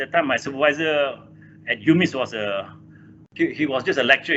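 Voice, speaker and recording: This speaker has a Malaysian accent. The pace is fairly quick. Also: man. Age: 60s. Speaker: engineer and corporate chairman. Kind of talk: interview. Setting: video call. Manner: halting.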